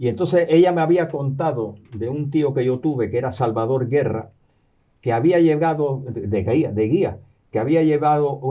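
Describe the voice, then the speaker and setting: Delivered at a moderate pace, the voice has a dark, mellow tone. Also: man. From born in New York, partly raised in Cuba and the US, Canarian family. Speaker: professor and novelist. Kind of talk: interview. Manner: halting, many repetitions and fillers.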